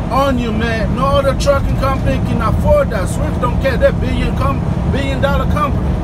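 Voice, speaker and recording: Moderate pace over loud background noise. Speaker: truck driver vlogger. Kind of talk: casual vlog chat. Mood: opinionated, gossipy. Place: car. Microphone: phone near.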